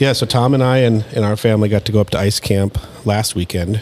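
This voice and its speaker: With fairly even intonation, a man speaks at a moderate pace as noticeable background noise carries on around him. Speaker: podcast host. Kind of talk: casual chat. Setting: studio.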